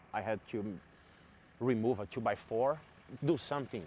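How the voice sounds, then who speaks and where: A man at medium pitch, moderate pace and ordinary pitch variation. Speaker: eyewitness of a mudslide. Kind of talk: on-camera interview. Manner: halting.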